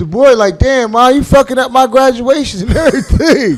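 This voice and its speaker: The delivery is animated and moves at a fairly quick pace. Background noise is noticeable. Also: man. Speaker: comedy radio host. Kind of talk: casual chat.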